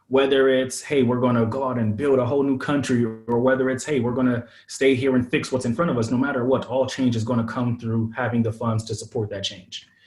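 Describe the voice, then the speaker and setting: Noticeable background noise sits behind a man with an American accent. He talks at a fairly quick pace, medium in pitch and flat, monotone in intonation. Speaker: startup founder, former venture investor. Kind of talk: podcast interview. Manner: casual, many fillers.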